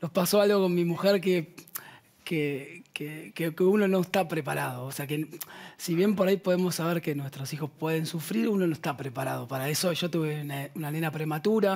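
Over a quiet background, a man with a normal speaking voice talks at a moderate pace, his fairly high pitch showing ordinary pitch variation. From La Plata, Argentina; Argentina. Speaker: band musician; guest. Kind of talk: casual chat. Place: studio. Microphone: headset.

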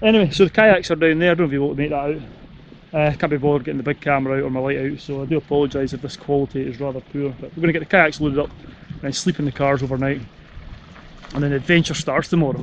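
Over light background noise, a man speaks very fast with fairly even intonation, the sound dry with no echo. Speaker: adventure vlogger. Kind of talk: casual vlog chat. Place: open country. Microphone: phone near.

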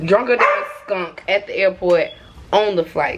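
Noticeable background noise under a woman's moderately paced speech. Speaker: vlogger. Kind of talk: casual vlog chat. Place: home room. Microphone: phone near.

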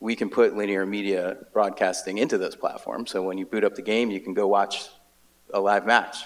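Fairly low in pitch, a man talks at a moderate pace with monotone, flat intonation. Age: 40s. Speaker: esports executive; panelist. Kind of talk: panel discussion. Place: hall. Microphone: handheld.

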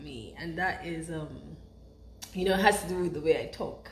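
A woman talks at a moderate pace with a Nigerian accent. Light background noise and audible room echo are present. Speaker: stay-at-home mother. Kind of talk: vlog talk to camera.

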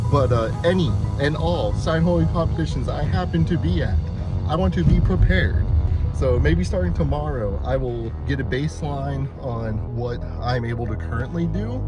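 A man at a moderate pace, with a dry sound with no echo and clear music in the background. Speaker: travel vlogger. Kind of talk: casual vlog chat. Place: car. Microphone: phone near.

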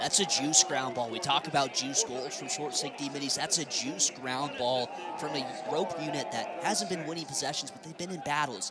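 Over noticeable background noise, a man with a fairly high pitch speaks at a moderate pace, with ordinary pitch variation and big swings in loudness. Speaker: color commentator, lacrosse analyst. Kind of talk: color analysis over replays, breaking down plays and praising players. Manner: enthusiastic, effusive, uses player slang like juice goal; long run-on explanations during replays.

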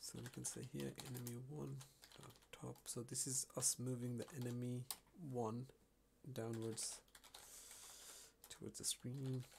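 At a fairly slow pace, a man of medium pitch speaks in a somewhat breathy, monotone, flat way with long, frequent pauses. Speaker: programming tutorial creator. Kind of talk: screen-recorded coding tutorial narration. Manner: casual, hesitant.

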